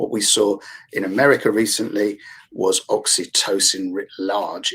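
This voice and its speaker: The speaker talks at a fairly slow pace in a London accent. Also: man. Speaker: therapist with a yoga background. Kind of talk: panel discussion. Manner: hesitant, with fillers.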